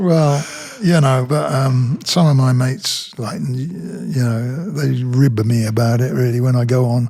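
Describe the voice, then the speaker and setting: Amid noticeable background noise and audible room echo, a man speaks at a fairly slow pace and medium pitch. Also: ordinary pitch variation. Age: 70s. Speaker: rock singer and poet. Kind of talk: casual chat.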